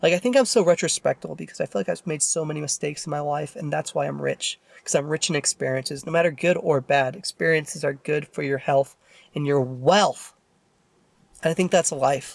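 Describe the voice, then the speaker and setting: A man speaks at a fairly quick pace in a fairly high pitch, with ordinary pitch variation. The recording is very clean with a silent background and a dry, close sound with no echo. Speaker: YouTuber. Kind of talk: casual vlog monologue. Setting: in a car. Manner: loud.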